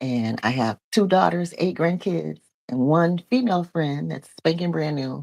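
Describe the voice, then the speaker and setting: Lively intonation marks a woman's fairly slow speech. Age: 50s. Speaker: preacher and vlogger. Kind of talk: casual personal vlog talk. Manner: conversational, many fillers.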